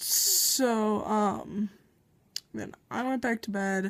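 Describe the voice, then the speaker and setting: A woman talks very slowly in a fairly high voice, with ordinary pitch variation. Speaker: vlogger. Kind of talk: casual vlog. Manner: hesitant, many fillers.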